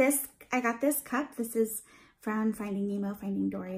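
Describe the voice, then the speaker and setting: On a very clean recording with a silent background, a woman's somewhat breathy, fairly high voice moves at a moderate pace with fairly even intonation. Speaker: beauty and lifestyle vlogger. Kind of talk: haul video, casual chat to camera. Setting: at home, dad in the next room. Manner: casual, filler-heavy; quieter than usual.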